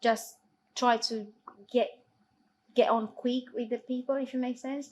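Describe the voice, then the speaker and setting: A woman talks with a non-native accent and fairly even intonation. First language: not English. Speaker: football assistant referee. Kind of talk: Q&A interview.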